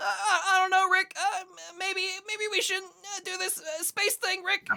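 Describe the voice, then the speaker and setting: With an extremely high pitch in a put-on character voice, the speaker goes at a moderate pace in a monotone, flat intonation. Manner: hesitant, stammering.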